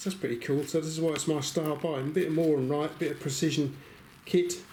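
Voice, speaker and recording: Amid audible room echo, a man speaks fairly quickly at a fairly high pitch with fairly even intonation. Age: 60s. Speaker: YouTuber reviewing secondhand tools. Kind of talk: casual vlog talk to camera. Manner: chatty, hesitant with fillers.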